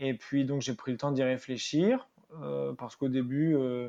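A man's medium-pitched voice, fairly slow in pace, with fairly even intonation. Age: 30s. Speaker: company director. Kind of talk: interview. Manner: halting, many hesitations.

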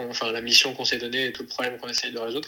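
A man with a medium-pitched voice speaks in a flat monotone over noticeable background noise. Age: 20s. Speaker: entrepreneur, co-founder of an outdoor activities company for children. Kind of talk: interview. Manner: halting, many fillers and repetitions.

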